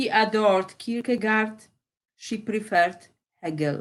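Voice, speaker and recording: A woman with a Polish accent, medium-pitched, at a very slow pace, with ordinary pitch variation. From Poland. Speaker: poet. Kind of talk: poetry reading.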